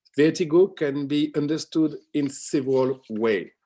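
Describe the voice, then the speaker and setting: A fairly high-pitched man's voice with a dark, mellow tone, ordinary pitch variation and a moderate pace. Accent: French. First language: French. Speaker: academic researcher. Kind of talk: conference talk. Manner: halting.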